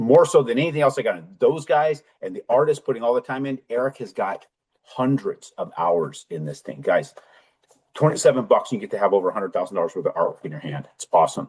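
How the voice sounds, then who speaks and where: This man talks at a very fast pace, and his loudness swings widely. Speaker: mortgage loan officer and author. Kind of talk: casual video update. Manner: animated.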